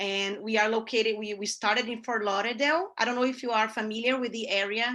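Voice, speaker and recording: With a Brazilian Portuguese accent, a woman speaks in a bright, sharp tone at a fairly high pitch. Her pace is fairly quick, her intonation fairly even, and the background quiet. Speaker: newspaper columnist and ad sales; representative of a newspaper. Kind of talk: guest talk to a class. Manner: halting, many fillers. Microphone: video call.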